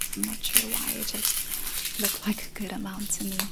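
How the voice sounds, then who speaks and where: Soft-spoken and calm in tone, a woman talks at a fairly slow pace in a monotone, flat intonation, with noticeable background noise. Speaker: ASMR content creator. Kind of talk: ASMR cooking tutorial. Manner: soft-spoken, calm.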